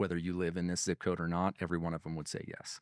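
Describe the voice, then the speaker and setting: Very deep and low, a man's voice with an Idaho accent comes through dry and close with no echo. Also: very clean recording, silent background. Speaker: real estate software presenter. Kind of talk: product demo conversation. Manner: casual, repetitive restarts.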